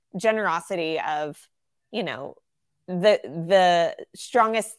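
Recorded very cleanly against a silent background, a woman with a Southern US accent speaks at a medium pitch with ordinary pitch variation. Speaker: ministry worker. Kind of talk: casual interview conversation.

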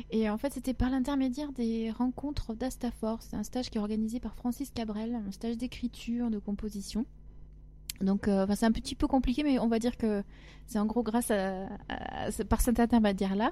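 Her fairly high, somewhat breathy voice has a dark, mellow tone, and this woman keeps fairly even intonation at a moderate pace. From southwest France (Agen, Lot-et-Garonne). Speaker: singer-songwriter. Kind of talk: interview.

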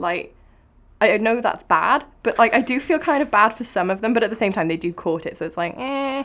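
In a Cardiff accent, a woman talks at a fairly quick pace with lively intonation and fairly high pitch. The recording is very clean, with a silent background. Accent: Welsh (Cardiff). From Wales. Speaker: aspiring writer. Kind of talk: casual chat. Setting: studio.

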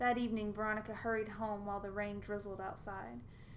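An unforced reading voice keeps to fairly even intonation.

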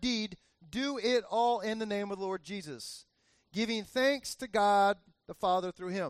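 An animated, high-pitched man with an American accent at a moderate pace, ordinary pitch variation, a dry, close sound with no echo and a quiet background. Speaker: pastor. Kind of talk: sermon. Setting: church with congregation. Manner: animated, conversational.

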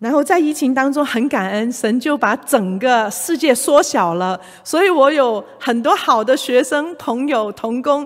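A woman talks in a Cantonese accent at a high pitch with lively intonation. Her pace is fairly slow, with hardly any pauses. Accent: Cantonese accent in Mandarin. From Hong Kong. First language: Cantonese (speaking Chinese). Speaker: retired executive and church elder, workplace ministry speaker. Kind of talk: church talk / sermon-style lecture.

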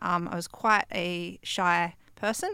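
A woman's bright, sharp voice with an Australian accent and ordinary pitch variation, on a very clean recording with a silent background. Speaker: young LGBTI interviewee. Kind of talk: interview answer. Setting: studio.

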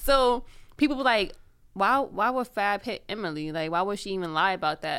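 A woman's medium-pitched, unremarkable speaking voice with lively intonation at a moderate pace, in a very clean recording with a silent background. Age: 20s. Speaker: podcast co-host. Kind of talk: casual chat.

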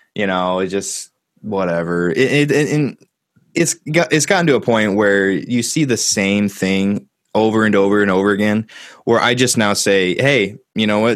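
A man with an ordinary speaking voice talks at a fairly low pitch and a moderate pace, with ordinary pitch variation and very even loudness. The recording is very clean, with a silent background. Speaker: YouTuber and metal musician. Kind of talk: casual chat. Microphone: professional-quality audio.

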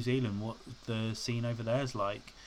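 Using a British accent, a man speaks in a monotone, flat way at medium pitch and a moderate pace. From UK. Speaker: podcast host. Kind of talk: solo podcast monologue. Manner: rambling, casual with frequent fillers.

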